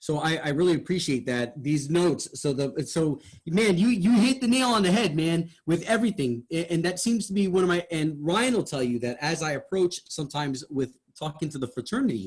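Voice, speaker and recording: A man with a high pitch talks at a fairly quick pace with hardly any pauses. His intonation is lively. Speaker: radio host. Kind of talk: feedback discussion. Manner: animated, wide pitch range.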